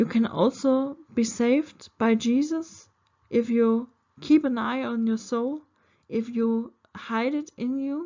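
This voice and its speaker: Speaking in a German accent, a woman has a high pitch and fairly even intonation. Her pace is very slow. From Germany. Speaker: spiritual video creator. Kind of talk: spiritual monologue to camera. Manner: halting, many fillers.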